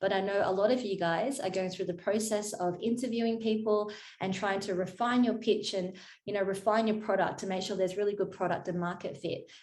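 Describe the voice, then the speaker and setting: A woman with an Australian accent talks at a fairly quick pace with fairly even intonation. There is audible room echo. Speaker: marketing consultant. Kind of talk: workshop presentation. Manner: fast.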